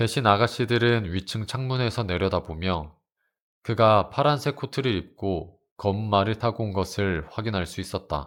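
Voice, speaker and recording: Using an ordinary speaking voice, a man talks at a moderate pace in a fairly low pitch with ordinary pitch variation, in a very clean recording with a silent background. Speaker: audiobook narrator. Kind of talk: audiobook reading of a classic novel. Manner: calm, soothing.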